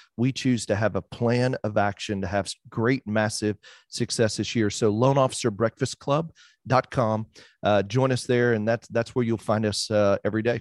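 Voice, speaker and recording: In a dry, close sound with no echo and a quiet background, a man speaks in a plain, everyday voice at medium pitch, with fairly even intonation and very even loudness. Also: moderate pace. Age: 40s. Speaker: mortgage branch manager and podcaster. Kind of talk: casual interview chat.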